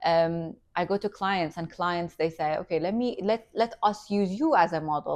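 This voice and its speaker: A woman talks at a medium pitch with ordinary pitch variation against a quiet background. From Iranian family, raised in Qatar. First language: Farsi. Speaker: entrepreneur and influencer. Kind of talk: interview. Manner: animated.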